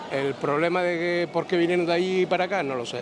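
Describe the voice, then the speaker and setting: Speaking fairly quickly with a Canarian accent, a man uses a fairly high pitch and fairly even intonation amid noticeable background noise. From Canary Islands. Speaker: passerby interviewed on the street. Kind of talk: street interview. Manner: halting, repeats words.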